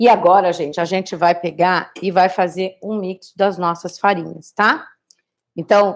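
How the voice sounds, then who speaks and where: A woman speaks at a medium pitch with fairly even intonation and an unremarkable speaking voice. Her pace is moderate. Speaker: cooking instructor. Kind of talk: live cooking tutorial. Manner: casual, chatty.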